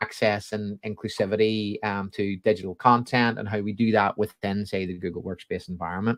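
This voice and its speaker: A man talks with a Belfast accent at a fairly low pitch. The background is quiet. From Northern Ireland, Belfast. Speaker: education technology specialist. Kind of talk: interview. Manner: sing-song intonation. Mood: friendly, laughing at times. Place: home room.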